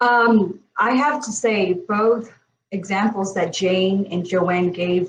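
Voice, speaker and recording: Spoken at a very slow pace with ordinary pitch variation, this voice comes in a Burmese accent. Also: woman, medium pitch for a woman. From Myanmar. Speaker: panelist. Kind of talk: panel discussion.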